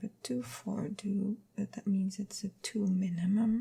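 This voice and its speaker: Soft-spoken, the voice moves at a fairly slow pace. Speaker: ASMR creator. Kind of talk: ASMR soft-spoken puzzle session.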